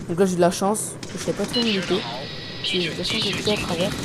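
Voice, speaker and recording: A man's high-pitched voice at a very fast pace, with noticeable background noise and audible room echo. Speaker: gaming commentator. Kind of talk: gameplay commentary. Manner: soft-spoken; halting.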